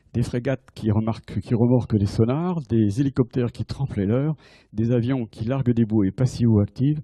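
Against a quiet background, a man speaks at a moderate pace in a somewhat breathy, medium-pitched voice with a dark, mellow tone and ordinary pitch variation. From France. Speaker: navy admiral and submarine officer giving a conference. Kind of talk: lecture. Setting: lecture hall with audience. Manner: halting with frequent repetitions. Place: hall. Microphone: handheld.

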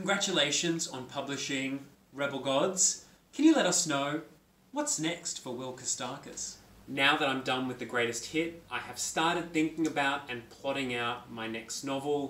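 Audible room echo surrounds a man with an Australian accent, who speaks at a moderate pace in a fairly high voice with ordinary pitch variation. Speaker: young adult author; author interviewing himself. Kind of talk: self-interview. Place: home room. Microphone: phone near.

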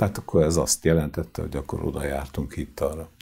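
Very deep and low, this man's voice carries a dark, mellow tone and vocal fry. He talks at a fairly quick pace. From Hungary, Sarkad (Békés county); Hungary. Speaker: choir conductor; guest. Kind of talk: interview; interview answer. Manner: halting. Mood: calm storytelling, anecdotal. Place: studio. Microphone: lapel.

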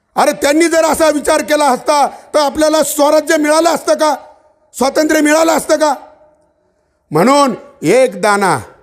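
A man's animated voice at an extremely high pitch, with ordinary pitch variation and very even loudness. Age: 40s. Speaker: farmers' activist speaker. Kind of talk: public speech. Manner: fiery, animated.

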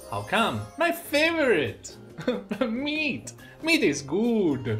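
A man's voice comes through with faint music behind it. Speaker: game streamer. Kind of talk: reading game dialogue aloud with voices. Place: home room.

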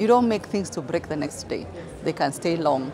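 Noticeable background noise sits behind a woman speaking at a fairly low pitch. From Kenya. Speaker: manufacturing association executive. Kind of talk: interview. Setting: conference event. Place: hall.

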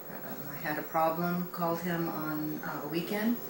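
Fairly slow female speech against noticeable background noise. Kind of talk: testimonial. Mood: warm, content.

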